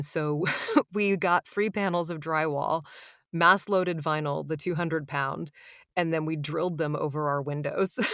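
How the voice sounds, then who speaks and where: Fairly even intonation in an American accent, at a moderate pace, on a very clean recording with a silent background. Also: woman. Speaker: audiobook narrator. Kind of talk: interview answer.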